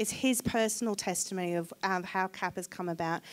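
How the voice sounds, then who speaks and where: Her pace is fairly quick. A woman talks with a slight English accent. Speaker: charity representative speaking at church. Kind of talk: church talk. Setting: church service.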